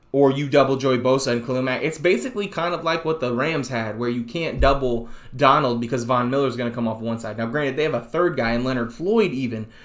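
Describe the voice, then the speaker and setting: Talking at a very fast pace, a man with a medium-pitched voice is heard over noticeable background noise and audible room echo. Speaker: sports podcast host. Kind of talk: casual solo commentary. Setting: home recording alone. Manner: loud.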